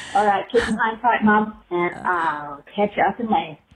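In an Australian accent, a woman with a medium-pitched voice talks at a fairly slow pace. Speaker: voicemail caller to a podcast. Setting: phone voicemail. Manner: casual, blunt, profane.

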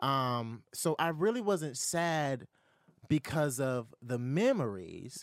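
In a very clean recording with a silent background, a man speaks with an American accent. His pitch is fairly high, his intonation lively, and his pace very slow. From US South, Moreland, South Carolina. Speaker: YouTuber and talk show host. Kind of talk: casual interview. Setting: studio. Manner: animated.

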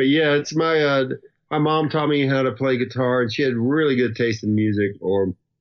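A man with a Southern US accent at medium pitch, moderate pace and ordinary pitch variation. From US South. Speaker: musician. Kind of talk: casual interview chat.

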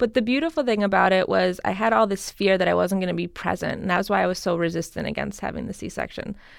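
Talking at a very fast pace with hardly any pauses, a woman with an American accent uses a medium pitch, ordinary pitch variation and vocal fry. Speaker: skincare specialist. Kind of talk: casual interview.

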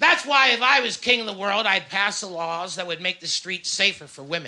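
A man speaks in a raised, projected voice with a high pitch and a bright, sharp tone. His pace is fairly quick, with ordinary pitch variation. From Winnipeg, Canada. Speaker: stand-up comedian. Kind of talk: casual chat. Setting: radio studio.

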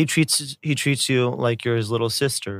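In an unremarkable speaking voice of medium pitch, a man talks at a moderate pace with fairly even intonation, in a very clean recording with a silent background and a dry, close sound with no echo. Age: 30s. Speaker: YouTuber. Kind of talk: casual chat.

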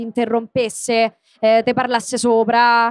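A woman speaks with a high pitch. The sound is dry and close with no echo, over a quiet background. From Rome (Garbatella). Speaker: voice actress and comedian. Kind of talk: casual chat. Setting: stage with audience.

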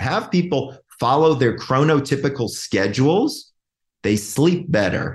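A man with an American accent speaks at a moderate pace and a fairly high pitch. His voice is somewhat breathy, with lively intonation. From Georgia, US South. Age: 50s. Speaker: clinical psychologist, sleep specialist. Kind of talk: interview. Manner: animated.

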